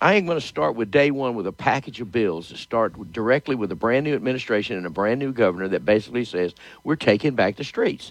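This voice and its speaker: Against a quiet background, a man in a Louisiana accent speaks at a very fast pace and medium pitch, with lively intonation and big swings in loudness. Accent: Louisiana Southern US. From Louisiana, Shreveport. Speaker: politician. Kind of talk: interview.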